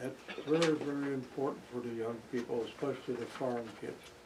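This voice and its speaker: A man at a moderate pace with ordinary pitch variation, amid audible room echo and noticeable background noise. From Wisconsin. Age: 90s. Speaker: local elder interviewee. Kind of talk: oral history interview.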